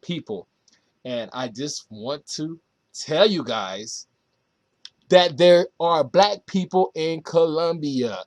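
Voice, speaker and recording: A man talks at a very slow pace, his pitch fairly high with lively intonation. The sound is dry and close, with no echo. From United States. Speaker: travel vlogger. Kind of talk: casual Q&A vlog. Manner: halting, self-correcting.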